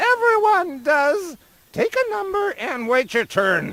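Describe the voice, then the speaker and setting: A woman puts on a squeaky character voice at an extremely high pitch, swinging her pitch very widely at a fairly slow pace. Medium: video game. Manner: snippy, clears throat often.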